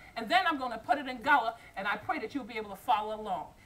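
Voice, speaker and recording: A woman with an American accent, high-pitched, with very wide pitch swings over noticeable background noise. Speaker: storyteller. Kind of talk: English version of folk tale.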